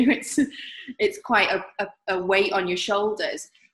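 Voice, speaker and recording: At a fairly slow pace, this somewhat breathy voice unfolds. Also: woman. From northern England, Manchester. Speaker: artist. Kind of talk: interview.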